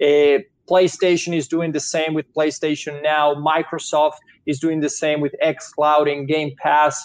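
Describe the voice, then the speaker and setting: A man talks at a fairly slow pace with a strong Venezuelan accent. His intonation is monotone and flat. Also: fairly high pitch for a man. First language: Spanish. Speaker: technology investment analyst. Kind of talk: webinar presentation. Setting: video call.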